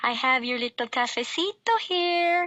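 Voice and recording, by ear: A woman performs a squeaky put-on character voice at an extremely high pitch. Her pitch swings very widely at a moderate pace.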